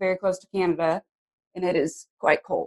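A woman with an American accent talks at a medium pitch with fairly even intonation, in a dry, close sound with no echo. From Arizona, US Southwest. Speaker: actor. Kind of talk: casual interview chat.

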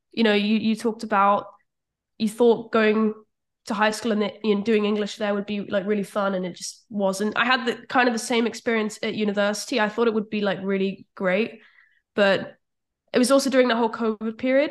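A woman with a British accent speaks at a fairly high pitch and a fairly quick pace. Her intonation is monotone and flat, against a quiet background. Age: 20s. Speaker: copywriter. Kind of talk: casual interview chat.

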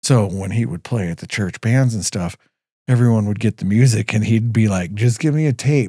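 A man's normal speaking voice at a fairly low pitch and moderate pace, with a dry, close sound and no echo. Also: ordinary pitch variation. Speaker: business owner. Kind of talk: casual chat.

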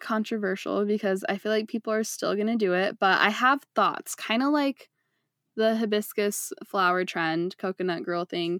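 Very clean and silent in the background, the recording has a dry, close sound with no echo. A woman speaks in a medium pitch. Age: 20s. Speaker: podcast host. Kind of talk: casual chat. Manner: animated.

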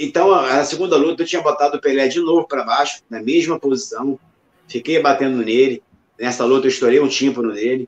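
A man talks at a fairly quick pace with a fairly high pitch and ordinary pitch variation. It is an unremarkable speaking voice. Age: 50s. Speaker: retired MMA fighter. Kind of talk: interview.

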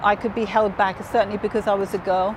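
A woman with a southern English accent speaks at a fairly high pitch over noticeable background noise. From southern England (Hove, Brighton). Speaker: business executive. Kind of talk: interview. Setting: on location in Dubai.

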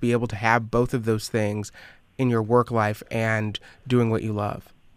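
An unremarkable speaking voice from a man at medium pitch and moderate pace, fairly even in intonation, on a very clean recording with a silent background. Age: 20s. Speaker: radio interviewer. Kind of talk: recorded interview.

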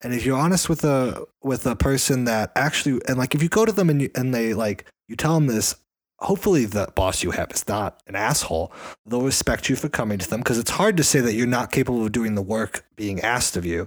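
With an ordinary speaking voice, a man talks at a fairly quick pace and medium pitch, his intonation lively, on a very clean recording with a silent background. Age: 20s. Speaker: podcast co-host. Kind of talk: casual chat.

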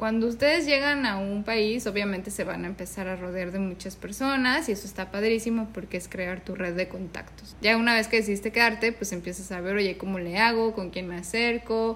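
This woman's voice sits at a medium pitch and shows ordinary pitch variation. It is an unremarkable speaking voice. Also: hardly any pauses. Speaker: podcast co-host. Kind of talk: casual chat.

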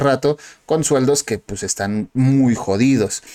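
At a fairly slow pace, a man speaks with ordinary pitch variation in a dry, close sound with no echo. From Mexico. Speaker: podcast host. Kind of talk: casual chat.

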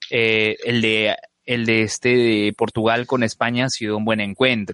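With an unremarkable speaking voice, a man talks at a moderate pace and medium pitch in a dry, close sound with no echo. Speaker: podcast co-host. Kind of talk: casual chat.

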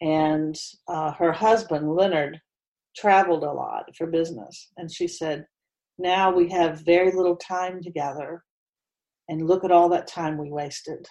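Fairly low in pitch, a woman with an American accent speaks at a fairly slow pace with a dark, mellow tone. Her intonation is fairly even, but her loudness swings widely. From West Virginia, Huntington. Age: 60s. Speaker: retired theater teacher. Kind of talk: interview.

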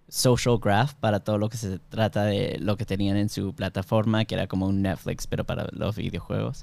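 A man speaks at a moderate pace, his fairly low voice carrying a fairly even intonation. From Miami, US, Peruvian-Bolivian family. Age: 20s. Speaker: software engineer and product manager. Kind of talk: casual interview.

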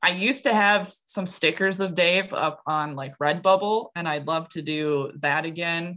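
With an American accent, a woman talks at a fairly slow pace with hardly any pauses, in a bright, sharp tone with ordinary pitch variation, on a very clean recording with a silent background. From US Midwest, Wisconsin. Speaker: comic creator and art teacher. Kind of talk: casual interview.

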